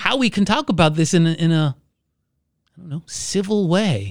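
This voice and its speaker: Against a silent background in a very clean recording, a man speaks at a moderate pace in an energetic, upbeat tone. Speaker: pastor and podcast co-host. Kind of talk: casual conversational podcast chat.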